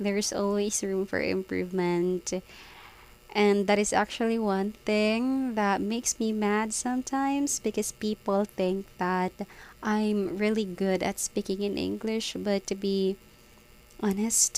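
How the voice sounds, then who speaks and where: A woman's medium-pitched voice with a Filipino accent, fairly slow and fairly even in intonation. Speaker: vlogger, call center worker. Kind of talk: casual vlog monologue. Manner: hesitant with many fillers.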